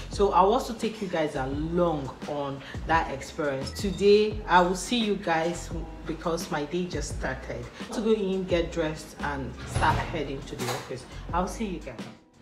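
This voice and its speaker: Moderately paced speech from a woman, clear music playing behind her. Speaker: vlogger. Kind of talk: casual vlog chat. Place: home room. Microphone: phone near.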